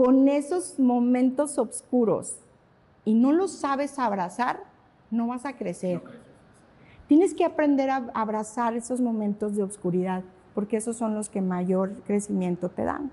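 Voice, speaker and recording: Pitch swings very widely over a dark, mellow tone. The pace is fairly slow. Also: woman. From Mexico, Saltillo; Mexico. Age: 50s. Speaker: pilates studio founder and instructor; instructor. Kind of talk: casual interview conversation. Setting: her pilates studio. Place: studio.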